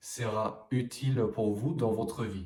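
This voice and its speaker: A man speaks at a medium pitch in a dark, mellow tone. His intonation stays fairly even. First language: English (speaking French). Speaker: French language coach. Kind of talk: vlog-style talk to camera. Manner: hesitant with frequent fillers.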